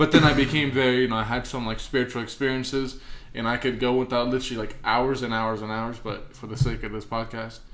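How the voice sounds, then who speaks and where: Very fast and monotone, with flat intonation, a man speaks amid noticeable background noise and audible room echo. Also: medium pitch for a man. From Romania. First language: Romanian. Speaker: podcast co-host. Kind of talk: casual chat.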